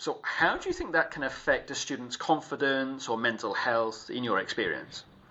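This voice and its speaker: There is noticeable background noise as a man talks at a moderate pace. He speaks with hardly any pauses. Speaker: podcast host. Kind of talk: podcast interview questions.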